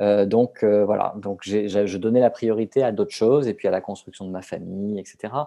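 In a plain, everyday voice, a man talks at a moderate pace with fairly even intonation and hardly any pauses. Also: fairly low pitch for a man. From southern France. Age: 40s. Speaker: novelist. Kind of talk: interview. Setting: remote call.

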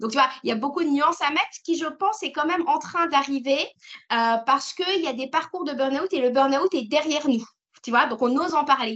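The voice sounds animated, moving at a fairly quick pace with ordinary pitch variation. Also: woman, high pitch for a woman. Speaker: entrepreneur. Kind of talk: interview. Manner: talkative.

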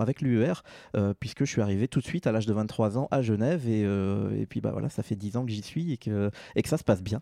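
Speaking at a very fast pace, a man with a dark, mellow tone and medium pitch shows ordinary pitch variation, recorded dry and close with no echo against a quiet background. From Normandy, France. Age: 30s. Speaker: broadcast engineer. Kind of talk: interview. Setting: at home.

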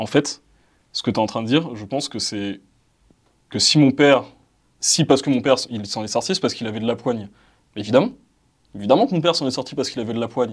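In a very clean recording with a silent background, a man at a medium pitch talks at a very fast pace with long, frequent pauses and big swings in loudness. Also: ordinary pitch variation. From France, Val-d'Oise suburbs (cité). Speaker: debate participant. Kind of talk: casual debate.

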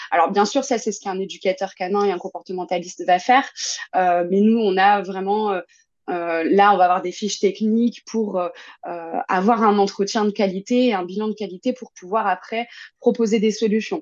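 A woman talks at a moderate pace with a medium pitch and fairly even intonation. Hers is a plain, everyday voice. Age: 20s. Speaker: dog behaviourist and agility trainer. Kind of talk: casual interview.

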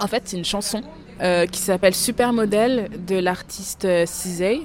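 A woman speaks at a very slow pace and medium pitch, her pitch varying in an ordinary way. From France, of Congolese parents. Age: 20s. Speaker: podcast guest discussing texts. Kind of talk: casual conversation.

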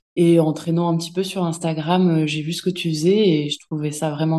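A woman speaks at a very deep, low pitch with a dark, mellow tone. Her intonation stays fairly even. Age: 30s. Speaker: mother telling her birth story. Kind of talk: testimony. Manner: halting, many hesitations.

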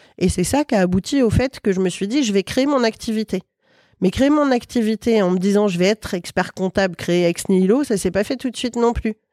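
Recorded dry and close with no echo on a very clean track with a silent background, a woman speaks at medium pitch and a fairly quick pace, with ordinary pitch variation, a dark, mellow tone and very even loudness. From western France (Loire-Atlantique). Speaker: chartered accountant and business owner. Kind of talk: casual interview.

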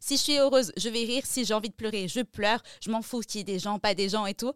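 At a moderate pace, a normal speaking voice with ordinary pitch variation comes through dry and close with no echo. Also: woman. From France, Strasbourg. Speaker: music journalist and press attaché. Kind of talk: interview.

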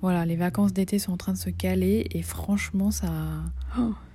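Over a very clean recording with a silent background, a woman speaks with a dark, mellow tone, somewhat breathy and with fairly even intonation. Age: 30s. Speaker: video diarist with breast cancer. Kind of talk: personal video diary.

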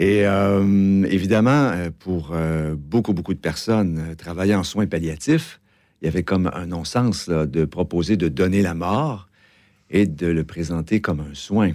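A man with a Quebec accent speaks fairly slowly in a very deep, low pitch with ordinary pitch variation. His tone is dark and mellow, and the recording is very clean, with a silent background. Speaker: advocacy group director. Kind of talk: radio interview. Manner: hesitant, many fillers.

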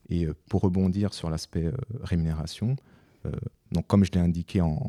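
The speaker's pitch varies in an ordinary way, at a moderate pace. A dark, mellow tone carries the voice. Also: man. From France. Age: 40s. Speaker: chartered accountant. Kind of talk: casual interview. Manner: halting, repeats words.

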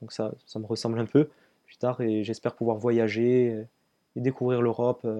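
A man speaks at a moderate pace and medium pitch in a dark, mellow tone with monotone, flat intonation. The sound is dry and close with no echo, and his loudness swings widely. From Corsica. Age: 20s. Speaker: long-distance runner and trail runner. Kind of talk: interview. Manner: halting, many hesitations.

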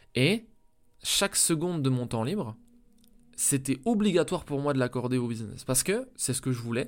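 An energetic, lively voice moves at a moderate pace with long, frequent pauses. The recording is very clean, with a silent background. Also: man. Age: 20s. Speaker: entrepreneur podcast host. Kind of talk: solo motivational monologue. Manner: casual, energetic.

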